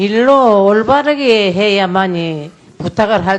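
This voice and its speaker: A woman talks very slowly, her pitch swinging very widely, with noticeable background noise present. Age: 80s+. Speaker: former comfort woman survivor testifying as a witness. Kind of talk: testimony at a parliamentary audit hearing.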